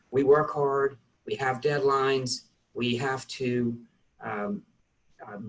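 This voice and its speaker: This man has an American accent. His pitch is medium, with ordinary variation. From US South. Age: 60s. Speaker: tax partner, accountant. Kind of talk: interview. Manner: halting.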